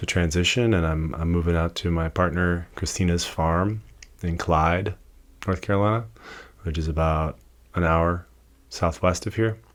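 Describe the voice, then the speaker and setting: At a moderate pace but with long, frequent pauses, a man with a very deep, low pitch speaks with fairly even intonation. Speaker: podcast host and tattoo apprentice. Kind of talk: casual solo podcast monologue. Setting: tattoo shop. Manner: hesitant, many fillers; quiet, keeping voice low.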